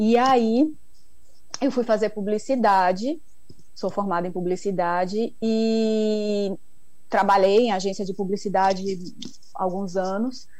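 Audible room echo surrounds a woman at medium pitch who speaks at a very slow pace with ordinary pitch variation and long, frequent pauses. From Brazil, Bahia (Ilhéus). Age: 40s. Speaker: chocolate maker. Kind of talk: interview.

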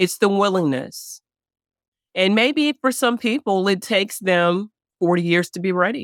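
A woman's medium-pitched voice with a slight Southern US accent and lively intonation at a fairly slow pace, dry and close with no echo, on a very clean recording with a silent background. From Chicago, US Midwest. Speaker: divorce coach. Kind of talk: interview.

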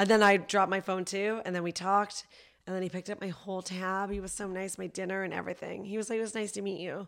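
Cackling at a very fast pace, a woman with a medium pitch is heard on a very clean recording with a silent background. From Canada (Vancouver). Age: 30s. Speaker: comedian. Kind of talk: casual chat. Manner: laughs often, cackling laugh.

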